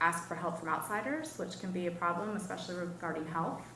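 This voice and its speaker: The speaker has an American accent and a moderate pace, with audible room echo and noticeable background noise. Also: woman. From Wisconsin. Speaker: professor. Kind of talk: lecture. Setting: seminar with audience. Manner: casual, conversational with fillers.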